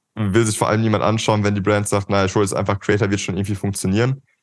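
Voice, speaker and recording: This man's voice sits fairly low in pitch. Around him, the background stays quiet. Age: 20s. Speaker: marketing agency co-founder. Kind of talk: casual interview. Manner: animated.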